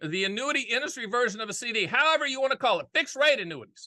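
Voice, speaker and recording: Very wide swings in pitch from a man, his voice raised and projected, the tone bright and sharp. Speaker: annuity and finance commentator.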